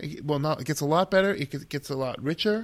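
With an American accent, a man in an ordinary speaking voice talks at a fairly quick pace, his fairly high pitch carried by lively intonation. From Massachusetts. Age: 60s. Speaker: elementary school teacher. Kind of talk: casual interview conversation.

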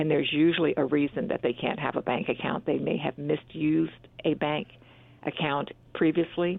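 This woman has a very deep, low pitch and an American accent. She talks at a moderate pace with ordinary pitch variation. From northern US. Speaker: bank executive. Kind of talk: radio interview.

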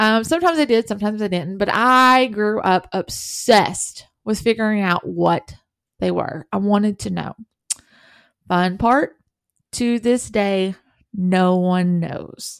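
Speaking in a Southern US accent at a fairly slow pace, a woman has a medium-pitched, animated voice with ordinary pitch variation. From US South. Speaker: podcast host and author. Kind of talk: true crime podcast monologue.

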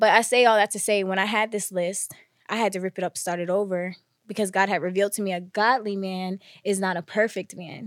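At a fairly quick pace, a woman with a medium pitch talks in a normal speaking voice, the sound dry and close with no echo in a very clean recording with a silent background. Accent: American. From New Jersey. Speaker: content creator and podcast guest. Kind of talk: casual chat.

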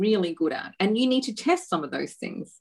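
A woman speaks in an Australian accent with lively intonation. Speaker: entrepreneur, women's empowerment company founder. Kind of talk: interview.

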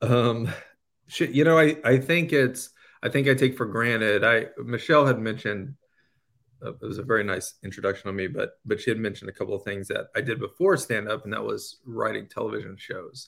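In a very clean recording with a silent background, a man with an ordinary speaking voice talks fairly quickly at a medium pitch, with ordinary pitch variation and big swings in loudness. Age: 40s. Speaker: comedian. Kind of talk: casual chat.

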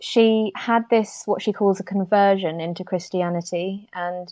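Her intonation is monotone and flat. This woman speaks at a medium pitch. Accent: British. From UK. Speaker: interior designer. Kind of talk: interview conversation.

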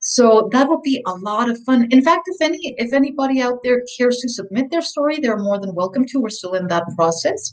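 A woman speaks at a fairly quick pace with a high pitch, lively intonation and hardly any pauses, over noticeable background noise. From Mexico City. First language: Spanish. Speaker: author and communications expert. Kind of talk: interview.

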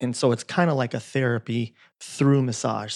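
A man with an American accent speaks at a medium pitch and moderate pace with fairly even intonation, the sound dry and close with no echo. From US West Coast. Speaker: chiropractor and bodywork healer. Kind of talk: casual interview conversation. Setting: his home practice.

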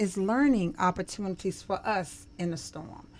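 A woman's normal speaking voice, medium in pitch, at a fairly slow pace, in a very clean recording with a silent background. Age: 50s. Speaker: social work professor. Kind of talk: interview.

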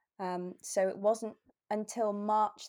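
Her intonation fairly even, a woman speaks with a southern English accent. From southwest England. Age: 20s. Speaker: copywriter. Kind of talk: interview.

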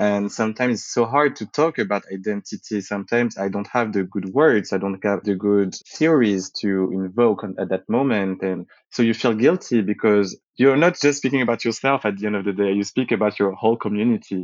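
A man with a French accent, fairly low pitch, ordinary pitch variation, a fairly quick pace and hardly any pauses. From France, Paris area (from age six; born in Martinique). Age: 20s. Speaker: interviewee sharing personal story. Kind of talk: personal testimony.

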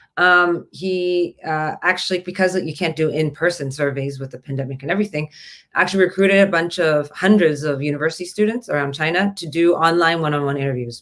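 In a Canadian accent, a woman speaks at a fairly quick pace. Her pitch is very deep and low, with ordinary variation. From Canada, Toronto area. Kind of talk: casual chat.

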